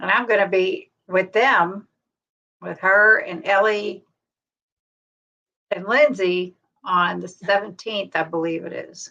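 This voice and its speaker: A woman's medium-pitched, bright, sharp voice at a very slow pace, with long, frequent pauses, ordinary pitch variation and big swings in loudness. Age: 60s. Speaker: keto livestream co-host. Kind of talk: personal testimony.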